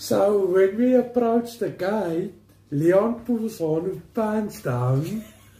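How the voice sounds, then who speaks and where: With a South African accent, a man speaks very slowly at a high pitch, his intonation lively. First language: Afrikaans. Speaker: family member of co-host. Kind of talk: casual chat. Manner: halting.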